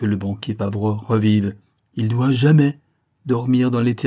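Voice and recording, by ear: Against a quiet background, a speaker reads aloud in a natural voice.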